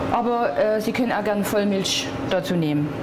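A woman's fairly slow speech comes through amid loud background noise. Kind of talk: cooking tutorial. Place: kitchen.

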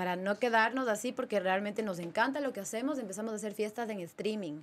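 A woman speaks with a fairly high pitch and ordinary pitch variation. Her pace is moderate. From Ecuador, Ambato; Ecuador. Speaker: DJ; podcast guest, DJ. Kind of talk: casual interview chat. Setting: studio. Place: studio. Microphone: studio mic.

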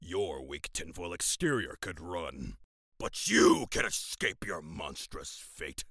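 Raspy and very deep, a man's cartoonish character voice moves at a fairly slow pace. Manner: menacing, taunting.

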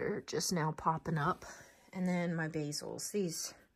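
At a fairly slow pace, someone talks in a somewhat breathy voice. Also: woman. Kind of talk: casual vlog chat. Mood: enthusiastic, pleased. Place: home room. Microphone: phone near.

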